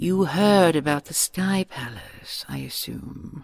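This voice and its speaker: Putting on a character voice, a woman speaks at a fairly slow pace with a very deep, low pitch. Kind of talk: audio roleplay.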